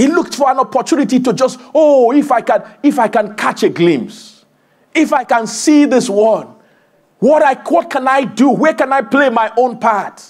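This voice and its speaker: In a quiet background, a man with an extremely high voice speaks at a moderate pace with an animated, warm tone, ordinary pitch variation and very even loudness. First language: not English. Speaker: preacher. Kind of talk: sermon. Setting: church. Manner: animated, exhorting, call-and-response; warm, conversational, humorous asides. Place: church.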